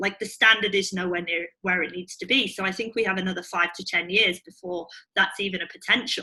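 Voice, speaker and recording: A British-accented woman at a fairly quick pace, medium in pitch, with a bright, sharp tone, fairly even intonation and hardly any pauses. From UK. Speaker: startup CEO and co-founder. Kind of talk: interview.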